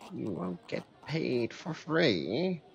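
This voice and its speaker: A man puts on a character voice. His pitch sits in the medium range and swings very widely. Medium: game stream. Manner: salesy, ingratiating.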